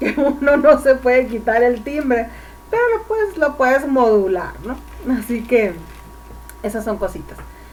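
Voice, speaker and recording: A woman with a Mexican accent, high-pitched with ordinary pitch variation, at a fairly slow pace with long, frequent pauses, audible room echo and music in the background. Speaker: public speaking instructor. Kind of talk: lecture.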